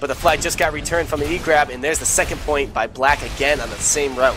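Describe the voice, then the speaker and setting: Noticeable background noise sits behind a man talking at a very fast pace. His intonation is fairly even. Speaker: esports caster. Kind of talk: live commentary.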